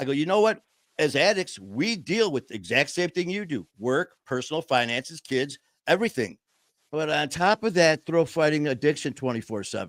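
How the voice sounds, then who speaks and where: A man with an American accent speaks in an animated tone at a fairly high pitch, with vocal fry. His pitch swings very widely, and the recording is very clean with a silent background. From Detroit, Michigan. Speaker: podcast host, person in recovery. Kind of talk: casual chat. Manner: fast, talkative.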